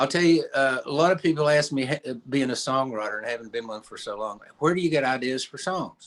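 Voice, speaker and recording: A man with an Appalachian accent and a fairly high voice talks at a fairly quick pace with hardly any pauses, ordinary pitch variation and big swings in loudness. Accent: Southern Appalachian US. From East Tennessee. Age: 70s. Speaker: storyteller and songwriter. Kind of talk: radio interview; storytelling. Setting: radio studio.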